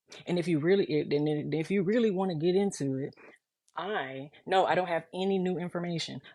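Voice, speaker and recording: The pace is fairly quick. A woman talks at a fairly low pitch. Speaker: mother of missing child. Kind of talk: emotional monologue. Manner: flat tone; emphatic.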